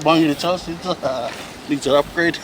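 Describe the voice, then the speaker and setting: There is noticeable background noise in this clip. A man with a fairly high pitch talks at a fairly slow pace. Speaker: community cycling organiser. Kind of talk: interview answer.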